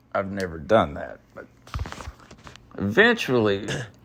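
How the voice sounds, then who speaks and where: Against noticeable background noise, a man with a strong Southern US accent talks at a very slow pace. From US South, North Carolina (Charlotte). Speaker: caller, rock fan. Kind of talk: storytelling.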